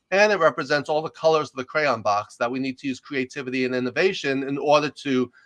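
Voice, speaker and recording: With a slight New York accent, a man talks very fast in a fairly high voice, the sound dry and close with no echo over a quiet background. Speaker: executive coach and leadership professor. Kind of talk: interview conversation.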